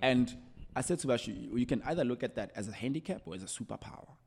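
Very fast delivery with vocal fry and very wide pitch swings. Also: man. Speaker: entrepreneur. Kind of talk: casual interview. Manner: code-switching between English and Zulu.

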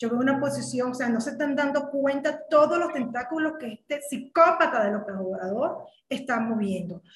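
With a Venezuelan accent, a woman talks at a moderate pace in a high pitch, her intonation lively. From Caracas, Venezuela. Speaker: political commentary podcast co-host. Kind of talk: political discussion. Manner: animated.

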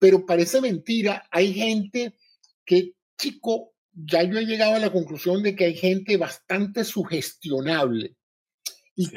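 A man talks fairly slowly. His voice is high-pitched. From Venezuela. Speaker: retired physician and biomedical engineer. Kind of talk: live audio-room talk.

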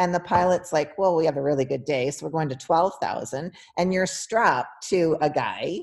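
With a Canadian accent and a plain, everyday voice, a woman talks at a moderate pace and fairly low pitch, with ordinary pitch variation and hardly any pauses. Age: 50s. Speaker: sports nutritionist and coach. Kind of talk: casual interview chat.

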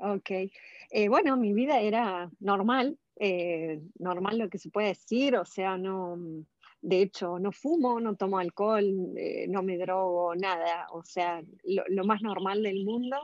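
A woman talks at a very slow pace against a quiet background. Her pitch sits in the medium range with ordinary variation. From Argentina. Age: 40s. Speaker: cancer survivor. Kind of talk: interview testimony.

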